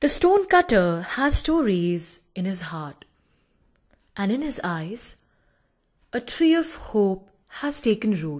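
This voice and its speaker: A woman speaks at a very slow pace, somewhat breathy, with very wide pitch swings. Long, frequent pauses break up her speech over a quiet background. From India. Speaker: poet. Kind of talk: poetry reading. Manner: hesitant, with fillers. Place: home room. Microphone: studio mic.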